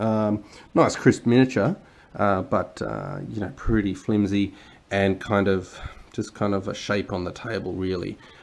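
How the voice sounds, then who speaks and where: In a quiet background, a man with an Australian accent speaks at a fairly slow pace. His voice sits fairly low, with ordinary pitch variation. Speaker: board game reviewer. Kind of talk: unboxing video commentary. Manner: halting, many fillers; casual.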